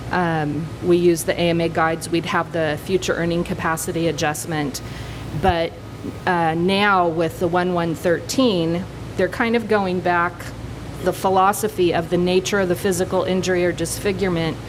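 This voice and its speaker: Amid noticeable background noise and audible room echo, the speaker holds a very even loudness, with fairly even intonation at a moderate pace. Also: woman, fairly low pitch for a woman. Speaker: workers compensation rating expert. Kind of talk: conference panel presentation. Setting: conference panel with audience.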